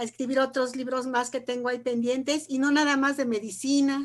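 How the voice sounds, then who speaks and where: A woman's high-pitched voice at a moderate pace, on a very clean recording with a silent background. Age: 60s. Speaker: retired pediatrician and researcher. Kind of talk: casual panel chat.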